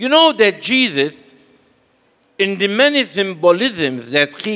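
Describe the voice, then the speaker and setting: A man projects a raised, high-pitched voice with a bright, sharp tone, speaking very slowly with very wide pitch swings. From Malta. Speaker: priest. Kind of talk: sermon. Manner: short phrases paused for interpreter.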